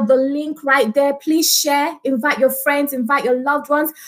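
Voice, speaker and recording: A woman talks at a moderate pace with a high pitch. Her intonation stays fairly even. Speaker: service leader. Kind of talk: opening worship and prayer. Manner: fervent. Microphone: webcam.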